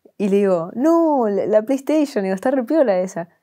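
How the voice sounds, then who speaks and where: A woman with a Buenos Aires accent and a dark, mellow tone speaks at a fairly slow pace. Her pitch swings very widely against a quiet background. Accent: Rioplatense Spanish, Buenos Aires. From Argentina, Buenos Aires area (La Matanza); Argentina. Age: 20s. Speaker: content creator. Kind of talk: interview. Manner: casual, slangy. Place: studio. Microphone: lapel.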